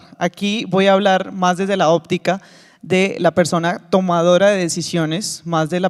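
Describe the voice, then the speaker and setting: A man talks at a high pitch with fairly even intonation. The sound is dry and close with no echo, in a very clean recording against a silent background. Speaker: conference presenter, former sports cluster project leader. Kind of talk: conference presentation. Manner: fast.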